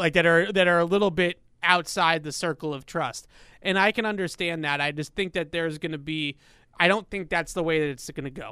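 Very clean and set against a silent background, the recording captures a man with a high, bright and sharp voice speaking at a moderate pace with fairly even intonation. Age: 30s. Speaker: sports podcast host. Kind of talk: casual chat.

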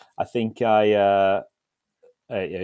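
A man with a southern English accent, fairly low-pitched, in monotone, flat intonation. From southern England, Isle of Wight. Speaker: hospitality startup founder. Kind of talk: casual interview.

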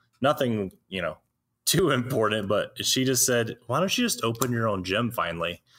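A man with an American accent speaks at a moderate pace in a medium pitch, his intonation lively, on a very clean recording with a silent background. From US South, Alabama. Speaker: personal trainer and nutrition practitioner. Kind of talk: interview conversation.

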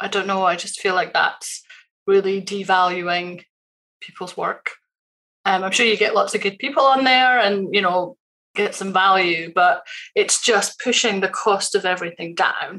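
A woman's bright, sharp tone at medium pitch, with fairly even intonation and a moderate pace. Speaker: freelancer. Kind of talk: casual chat. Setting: video call.

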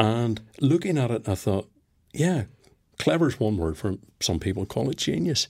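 A man's medium-pitched voice with very wide pitch swings and long, frequent pauses, on a very clean recording over a silent background. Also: moderate pace. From Northern Ireland. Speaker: performance psychologist, former police officer. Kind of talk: interview.

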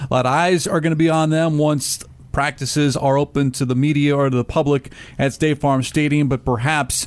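Speaking at a moderate pace with fairly even intonation, a man uses a plain, everyday voice pitched fairly high. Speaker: radio host. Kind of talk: casual sports talk. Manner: polished, professional.

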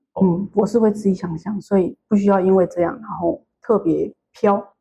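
A woman speaks with a Taiwanese accent at a medium pitch and a moderate pace. Her tone is dark and mellow, and somewhat breathy. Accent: Taiwanese Mandarin. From Taiwan, Tainan. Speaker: podcast listener. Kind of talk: interview. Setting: hotel room.

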